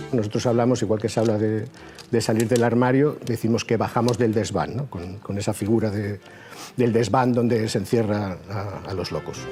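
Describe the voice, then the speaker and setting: Here a man talks at a moderate pace. His medium-pitched voice keeps a fairly even intonation. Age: 50s. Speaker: mental health survivor interviewee. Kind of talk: personal testimony. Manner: halting, many repetitions.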